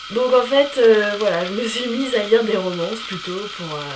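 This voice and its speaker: A woman speaks with a fairly high pitch and lively intonation. Noticeable background noise is present. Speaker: book vlogger. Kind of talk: casual talk to camera.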